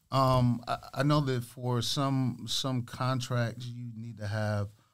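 In an American accent, an unremarkable speaking voice moves at a fairly slow pace with fairly even intonation on a very clean recording with a silent background. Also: man. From Michigan (Lansing). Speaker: radio and club DJ. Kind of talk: casual interview. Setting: studio.

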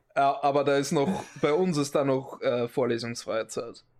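A man speaks at a fairly high pitch with vocal fry. His pitch variation is ordinary. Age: 20s. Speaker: podcast co-host. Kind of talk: casual chat.

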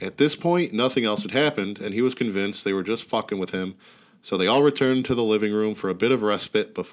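Someone reads aloud in a natural voice.

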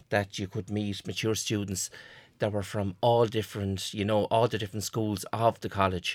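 With a fairly low pitch and monotone, flat intonation, a man speaks at a moderate pace on a very clean recording with a silent background. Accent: Irish. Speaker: college graduate, former mature student. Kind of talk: casual chat.

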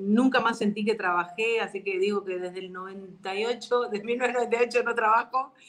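A woman talks at a fairly slow pace and a fairly high pitch. Her intonation is fairly even, in an unremarkable speaking voice. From Argentina. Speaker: psychologist and NLP coach. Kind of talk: online interview.

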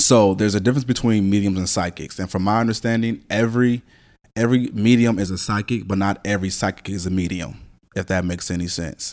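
A man talks at a fairly quick pace in an ordinary speaking voice, pitched fairly low. His intonation is fairly even, and the recording is very clean with a silent background. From US, moved around (born Los Angeles). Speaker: psychic medium. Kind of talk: casual chat.

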